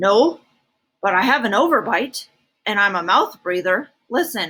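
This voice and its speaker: Using a put-on character voice, a woman speaks at a fairly high pitch. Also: moderate pace. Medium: read story. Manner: formal, mild.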